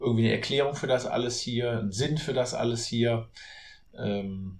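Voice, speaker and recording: A man speaks at a medium pitch in a somewhat breathy voice with fairly even intonation. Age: 40s. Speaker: author and real estate agent. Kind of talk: podcast interview.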